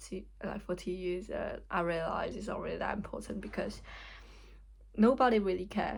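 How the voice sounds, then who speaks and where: A woman speaks with a Hong Kong accent. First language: Cantonese. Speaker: vlogger. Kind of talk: casual vlog talk. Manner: halting.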